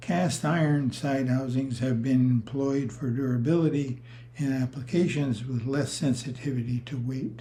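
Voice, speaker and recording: Somewhat breathy and dark with a mellow tone, a man's voice moves at a moderate pace with fairly even intonation. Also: medium pitch for a man. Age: 80s+. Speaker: retired rotary engine engineer. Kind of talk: technical presentation.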